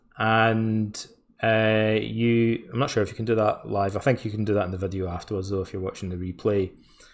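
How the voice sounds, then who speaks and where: Here a man talks at a fairly quick pace with a Scottish accent. His pitch is fairly low and his intonation is monotone and flat. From Scotland, west coast (Ayr, near Glasgow). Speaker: course instructor. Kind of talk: live webinar presentation. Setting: live stream. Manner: casual, hesitant with fillers.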